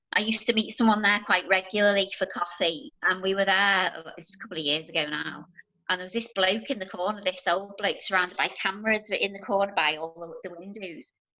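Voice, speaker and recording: A woman with a Liverpool accent at a fairly quick pace. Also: medium pitch for a woman, ordinary pitch variation. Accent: Scouse (Liverpool). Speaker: NHS nurse working with children. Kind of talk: casual interview chat. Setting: video call.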